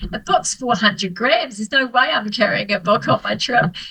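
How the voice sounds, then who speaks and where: Speaking with a New Zealand accent, a woman talks at a fairly quick pace with ordinary pitch variation. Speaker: author and solo traveller. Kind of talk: casual interview chat. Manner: hesitant, many fillers.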